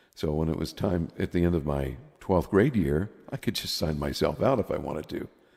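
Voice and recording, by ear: A man's extremely low voice, dark and mellow in tone, with a slightly husky edge, vocal fry, lively intonation and a moderate pace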